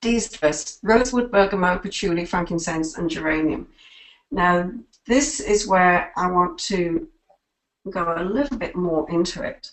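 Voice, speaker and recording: Here a woman speaks in a normal speaking voice at a fairly slow pace. Her intonation is lively. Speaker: product presenter. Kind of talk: webinar presentation. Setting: webinar call.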